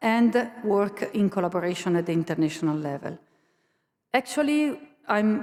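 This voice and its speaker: A woman with an Italian accent and a medium pitch makes very wide pitch swings and leaves long, frequent pauses. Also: moderate pace. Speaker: university learning innovation staff, conference speaker. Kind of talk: conference presentation. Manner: halting.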